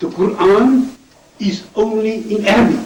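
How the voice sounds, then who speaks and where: A man speaks with a non-native accent. Background noise is noticeable, and the room echo is audible. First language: not English. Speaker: debater. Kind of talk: debate.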